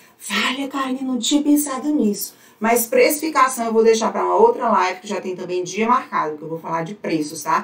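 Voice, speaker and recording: Over noticeable background noise, a woman speaks at a fairly quick pace with hardly any pauses, a fairly high pitch and very wide pitch swings. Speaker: fashion business coach. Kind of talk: live stream teaching. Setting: live stream. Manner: animated.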